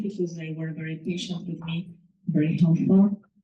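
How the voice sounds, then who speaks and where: A woman with a Spanish accent speaks in a fairly low pitch with a dark, mellow tone, somewhat breathy, in a monotone, flat intonation. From Mexico City. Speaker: author. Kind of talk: speech at a reading. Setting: live event with audience. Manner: hesitant, many fillers.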